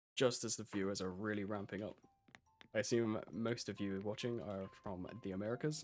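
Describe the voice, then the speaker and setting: With music playing in the background, a man with a British accent talks at a moderate pace in a fairly low voice with ordinary pitch variation. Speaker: gaming streamer. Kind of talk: casual live stream commentary.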